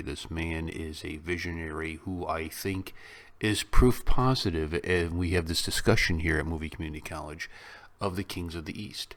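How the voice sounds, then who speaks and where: A man speaks with a very deep, low pitch and a Chicago accent. The recording is very clean, with a silent background. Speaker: YouTube reaction host. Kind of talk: casual reaction commentary.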